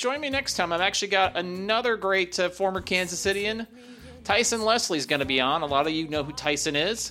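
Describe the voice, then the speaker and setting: Raised and projected, a man's voice sits high in pitch with a bright, sharp tone, lively intonation and a fairly quick pace. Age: 50s. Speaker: podcast host and guitarist. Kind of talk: casual interview.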